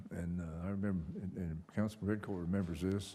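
In a room with audible echo, a man's very deep, low voice holds a fairly even intonation. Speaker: council chairman. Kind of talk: council meeting chairing. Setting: council meeting room with audience and microphones.

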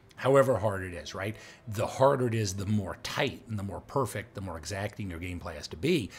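A man with fairly low pitch speaks at a moderate pace, somewhat breathy, with lively intonation. Light background noise is present. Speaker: gamer narrating his play. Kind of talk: live gameplay commentary.

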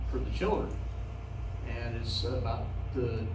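A man speaks over noticeable background noise. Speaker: guest. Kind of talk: informal talk to an audience. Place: meeting room. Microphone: handheld.

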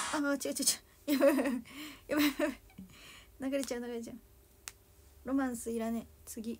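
A woman's high, monotone, flat voice at a moderate pace with long, frequent pauses, over light background noise. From Japan, Toyama; Japan. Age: 20s. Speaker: idol singer; idol livestreamer. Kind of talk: solo livestream chat with viewers. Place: home room. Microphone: phone near.

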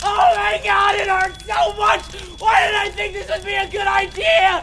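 Shouting at a moderate pace amid noticeable background noise.

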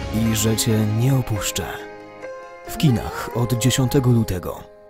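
Clear music plays in the background as the voice moves at a fairly slow pace. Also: dry sound with no echo. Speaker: voice-over narrator. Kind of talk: movie trailer. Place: studio.

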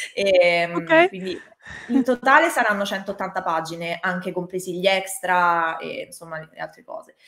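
At a fairly slow pace, a woman speaks with big swings in loudness. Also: ordinary pitch variation. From Italy. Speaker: manga artist; interviewee. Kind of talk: interview. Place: home room.

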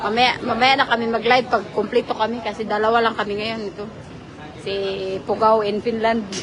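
A woman talks at a fairly quick pace in a fairly high pitch, monotone and flat. Crowd noise sits in the background, along with audible room echo. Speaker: vlogger. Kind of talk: casual vlog chat. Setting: outdoors.

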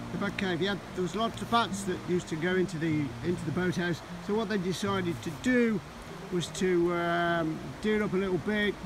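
The recording has a dry sound with no echo but noticeable background noise, and the speech moves at a moderate pace. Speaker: nature walk vlogger. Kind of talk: casual vlog chat. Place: waterside. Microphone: phone near.

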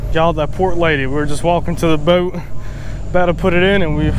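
A man talks very fast at very even loudness, in a dry sound with no echo and noticeable background noise. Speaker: vlogger filming himself. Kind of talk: casual vlog chat. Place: boat. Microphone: phone near.

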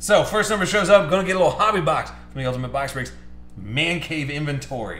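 Music plays in the background and the room echo is audible. A man speaks very fast with ordinary pitch variation. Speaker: box break host. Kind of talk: excited live stream commentary. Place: studio.

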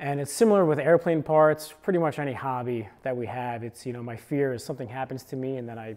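A man speaks, his pitch varying in an ordinary way. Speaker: creator. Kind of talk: casual gear explainer. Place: home room. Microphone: lapel.

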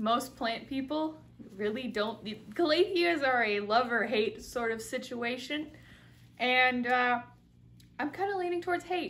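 A woman speaks at a fairly slow pace with a high pitch. Her pitch swings very widely. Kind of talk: casual vlog chat. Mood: playful, laughing. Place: home room.

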